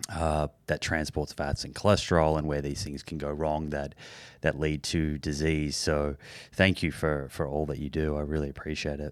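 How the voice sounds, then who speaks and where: A man with an Australian accent speaks at a very deep, low pitch and a moderate pace in a monotone, flat intonation, on a very clean recording with a silent background. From Australia, Melbourne. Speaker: podcast host. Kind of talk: personal story; interview.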